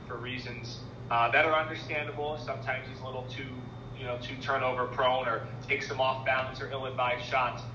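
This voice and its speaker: An American-accented man at medium pitch and a fairly quick pace, with audible room echo and noticeable background noise. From Philadelphia. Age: young. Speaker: TV sports anchor. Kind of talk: interview.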